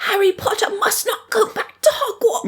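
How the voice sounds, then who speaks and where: A squeaky, put-on character voice at an extremely high pitch runs at a moderate pace. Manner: anxious, pleading.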